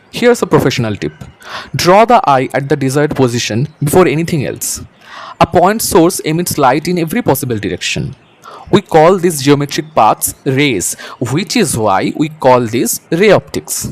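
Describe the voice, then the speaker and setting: There is noticeable background noise behind a man with a fairly high pitch. He speaks at a moderate pace with very wide pitch swings. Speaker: teacher. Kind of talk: educational tutorial narration. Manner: soft-spoken.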